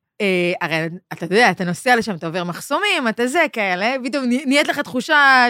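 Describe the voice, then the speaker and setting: A woman with a bright, sharp tone speaks at a fairly quick pace, her fairly high pitch swinging very widely. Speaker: podcast host and stand-up comedian. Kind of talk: casual chat.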